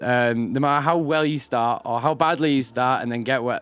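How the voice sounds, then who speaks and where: Speaking with a strong northern English accent, a man keeps a medium pitch and ordinary pitch variation. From Yorkshire, northern England. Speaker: actor. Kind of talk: casual interview. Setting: live event recording.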